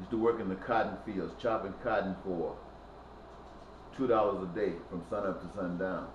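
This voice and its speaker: A man's fairly low voice with a Mississippi accent, fairly even intonation, a moderate pace and long, frequent pauses, amid audible room echo and noticeable background noise. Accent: Southern US (Mississippi). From US South, Mississippi Delta. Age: 60s. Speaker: activist. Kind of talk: personal testimony. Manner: halting.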